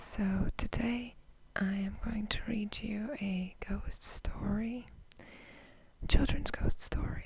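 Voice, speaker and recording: In a whisper, the speaker goes at a very slow pace with long, frequent pauses. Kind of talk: casual talk to camera. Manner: semi-whispered.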